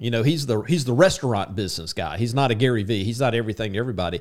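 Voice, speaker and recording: The pitch swings very widely in a very clean recording with a silent background. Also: man. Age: 50s. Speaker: podcast co-host, commission salesman. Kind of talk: casual chat.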